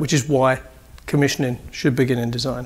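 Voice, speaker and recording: A man with a British accent, fairly high in pitch, at a very fast pace. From UK. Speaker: building commissioning engineer. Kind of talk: conference presentation. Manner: animated.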